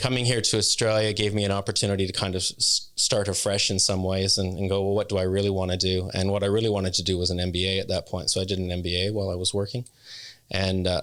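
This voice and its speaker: In a very clean recording with a silent background, a man with a Canadian accent speaks very fast with a very deep, low pitch and monotone, flat intonation. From Canada, northern Ontario. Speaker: non-profit executive. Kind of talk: interview. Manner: hesitant, many ums.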